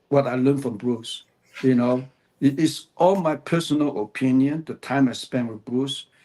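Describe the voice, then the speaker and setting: Speaking in a dark, mellow tone, a man keeps a medium pitch. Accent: Cantonese. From Hong Kong. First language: Cantonese. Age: 70s. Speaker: author, martial artist. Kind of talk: interview. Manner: halting.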